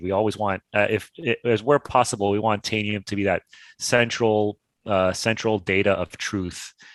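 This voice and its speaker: With a slight Canadian accent, a man with a fairly low pitch speaks at a moderate pace in fairly even intonation, the sound dry and close with no echo. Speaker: tech company partnerships executive. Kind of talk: interview. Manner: halting, repeats words.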